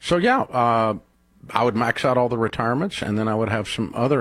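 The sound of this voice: With lively intonation and a moderate pace, a man speaks at a fairly low pitch.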